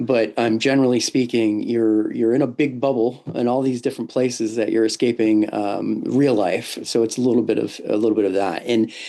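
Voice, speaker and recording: A man with a medium-pitched voice talks at a fairly quick pace with hardly any pauses. His intonation is fairly even, his loudness very even, and background noise is noticeable. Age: 40s. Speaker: podcast host, travel agent. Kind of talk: casual chat. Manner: halting, many fillers.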